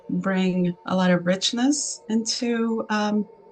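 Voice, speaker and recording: A woman with a Spanish accent talks with fairly even intonation while music plays in the background. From Argentina. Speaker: artist and entrepreneur. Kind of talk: interview. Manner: halting, many fillers.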